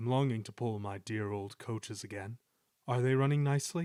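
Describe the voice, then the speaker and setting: A put-on character voice at a fairly quick pace. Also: man, medium pitch for a man. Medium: read story.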